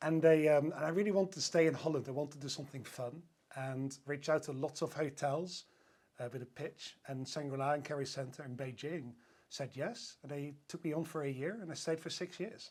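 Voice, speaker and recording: A man with a Dutch accent talks at a fairly quick pace, his pitch fairly high and its variation ordinary. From Netherlands. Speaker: hotel sales director. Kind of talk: podcast interview.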